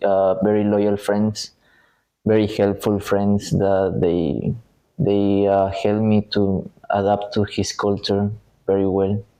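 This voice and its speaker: With a Spanish accent, a man talks at a very slow pace in a fairly low pitch, his intonation fairly even. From Ecuador. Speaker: university student. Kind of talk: interview. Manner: hesitant, many fillers.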